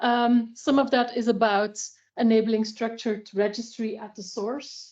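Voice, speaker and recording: A woman with a Flemish accent speaks fairly slowly in a monotone, flat delivery. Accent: Flemish Dutch accent in English. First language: Dutch. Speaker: health data researcher. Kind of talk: expert presentation. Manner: hesitant, many fillers.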